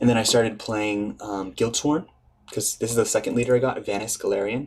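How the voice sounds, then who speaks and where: The speaker is a man with a medium pitch. He talks in a monotone, flat intonation. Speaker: card game content creator. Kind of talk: set review commentary. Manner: halting.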